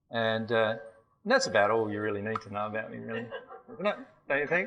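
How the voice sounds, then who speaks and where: With an Australian accent, a man talks at medium pitch in a room with audible echo. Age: 40s. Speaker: spiritual teacher. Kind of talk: seminar lecture. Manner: hesitant, many fillers.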